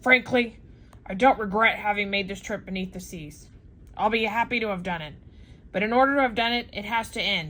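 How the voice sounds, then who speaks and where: Doing a put-on character voice, a woman speaks fairly quickly at medium pitch with ordinary pitch variation and big swings in loudness. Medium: read story. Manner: blunt, forceful.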